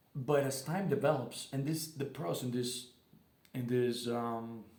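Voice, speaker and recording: A man speaks fairly slowly in a somewhat breathy voice of medium pitch. His pitch varies in an ordinary way, and the room echo is audible. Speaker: booktuber. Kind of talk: casual book review vlog. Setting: living room at home. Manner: halting, many fillers and restarts.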